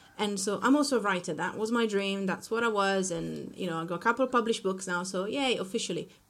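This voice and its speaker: A woman with an Italian accent, talking at a very fast pace. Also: medium pitch for a woman, ordinary pitch variation, hardly any pauses. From Italy. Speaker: marketing consultant. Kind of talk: casual interview.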